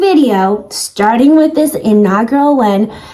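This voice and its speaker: A squeaky-voiced woman sounds animated, her pitch swinging very widely over noticeable background noise. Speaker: thrifting vlogger. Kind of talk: casual vlog talk to camera.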